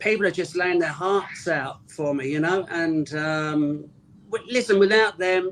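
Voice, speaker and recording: Here a man with a London accent talks at a fairly slow pace. His voice is high, with ordinary pitch variation. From North London. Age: 60s. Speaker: rock drummer. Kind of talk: interview.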